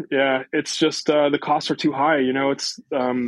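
The delivery has a monotone, flat intonation, captured with a dry, close sound and no echo. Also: man. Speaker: winemaker. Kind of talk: interview.

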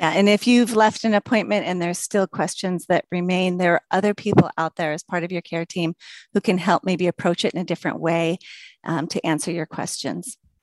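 Fairly quick and fairly low-pitched, a woman with an American accent and a plain, everyday voice speaks with ordinary pitch variation against a quiet background, in a dry, close sound with no echo. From Washington state, US. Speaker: rheumatology nurse practitioner. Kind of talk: interview.

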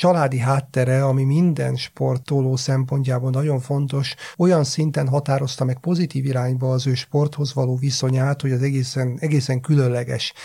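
Noticeable background noise sits behind a man speaking at a moderate pace in a fairly high voice. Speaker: sports psychologist. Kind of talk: podcast discussion. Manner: halting.

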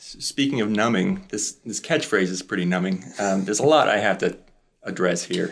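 Fairly low in pitch, a man with an unremarkable speaking voice talks at a moderate pace with ordinary pitch variation and big swings in loudness. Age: 20s. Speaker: son bringing a family complaint. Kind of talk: casual testimony.

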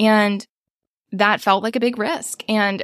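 In an American accent, a woman with a fairly high pitch and fairly even intonation talks in an unremarkable speaking voice, the sound dry and close with no echo. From United States. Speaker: small business owner and podcast producer. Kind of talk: coaching session conversation.

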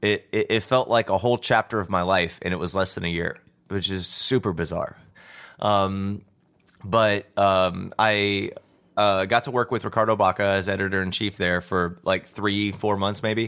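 On a very clean recording with a silent background, a man with a fairly low pitch and an ordinary speaking voice talks at a moderate pace with fairly even intonation. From Texas. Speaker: cannabis industry worker. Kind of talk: casual chat. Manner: many fillers, conversational.

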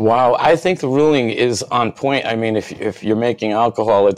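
This man has a plain, everyday voice. His pitch varies in an ordinary way at a moderate pace. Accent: American. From Rhode Island, US. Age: 50s. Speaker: cannabis activist, author. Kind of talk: interview.

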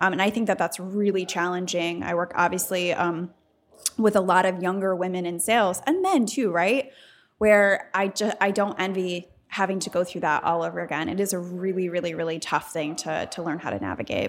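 In an unremarkable speaking voice with an American accent, the speaker moves at a fairly quick pace with fairly even intonation. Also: woman, medium pitch for a woman, very clean recording, silent background. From Michigan, US Midwest. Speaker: guest, political organization professional. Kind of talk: casual interview. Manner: conversational, laughs often.

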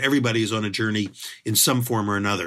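A man with an American accent at a very fast pace, in a very clean recording with a silent background. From Philadelphia, US. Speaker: bread and pizza author. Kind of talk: interview.

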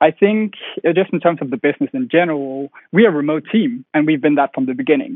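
A man's fairly high voice with a Danish accent, fairly quick in pace, with ordinary pitch variation. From Denmark. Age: 20s. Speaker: company founder. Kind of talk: interview.

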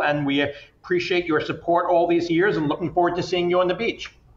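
A man at a fairly quick pace and with fairly even intonation, against noticeable background noise. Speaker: festival founder and wine industry communications exec. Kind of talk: casual interview chat.

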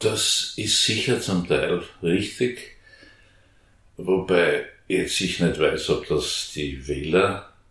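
A man speaks at a very slow pace with long, frequent pauses. Audible room echo is present. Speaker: former member of parliament, Green politician. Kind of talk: interview. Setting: back room of a coffee house.

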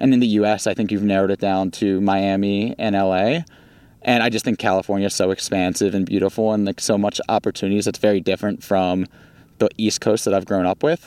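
A man with a slight Baltimore accent speaks at a very fast pace and a fairly low pitch, with fairly even intonation and very even loudness, on a very clean, dry, close recording with no echo and a silent background. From US, Baltimore. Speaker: startup founder. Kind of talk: interview conversation.

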